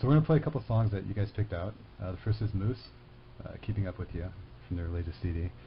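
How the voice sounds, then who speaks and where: A man talks at a very fast pace with a very deep, low pitch. His voice is somewhat breathy, and his intonation is lively. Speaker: college radio host. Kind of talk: radio interview. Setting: studio.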